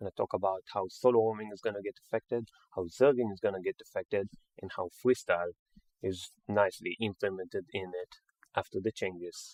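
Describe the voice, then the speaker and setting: A man with a fairly low pitch speaks at a fairly quick pace with fairly even intonation. The sound is dry and close, with no echo. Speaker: gaming commentator. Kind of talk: game commentary. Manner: fast; hesitant, with filler sounds.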